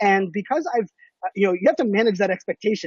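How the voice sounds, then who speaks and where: At a very fast pace, a man talks in a high pitch with an animated tone and lively intonation. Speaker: social media marketing expert. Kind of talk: interview. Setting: live stream.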